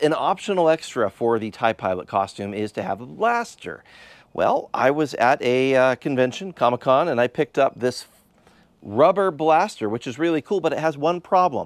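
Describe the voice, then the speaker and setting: A man speaks at a moderate pace. The background is quiet and the sound is dry with no echo. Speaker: hobby YouTuber. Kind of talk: casual vlog chat. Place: garage. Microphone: lapel.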